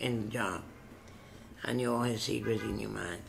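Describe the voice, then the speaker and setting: A man with a New York accent talks at a moderate pace and a fairly low pitch. Light background noise sits behind him. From South Bronx, New York. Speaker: retired social and mental healthcare worker; interviewee. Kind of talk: oral history interview answer. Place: office. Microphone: webcam.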